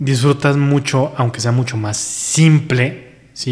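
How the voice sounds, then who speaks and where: With a Mexican accent, a man is talking. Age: 30s. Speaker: podcaster. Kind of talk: casual chat.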